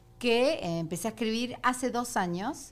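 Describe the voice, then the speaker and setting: With an Argentine accent, a woman talks using lively intonation. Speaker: comedian. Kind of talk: casual chat.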